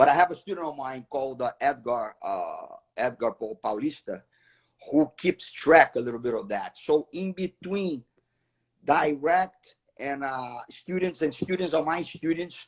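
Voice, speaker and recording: A man's fairly high voice with a Portuguese accent. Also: lively intonation, fairly slow pace, dry, close sound with no echo. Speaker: martial arts professor. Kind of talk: live interview. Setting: livestream.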